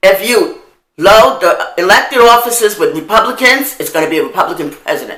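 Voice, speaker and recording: Speech comes at a fairly quick pace in an American accent, with very wide pitch swings and an animated tone. Room echo is audible. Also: woman. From New York, Harlem. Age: old. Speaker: video blogger. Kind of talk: monologue.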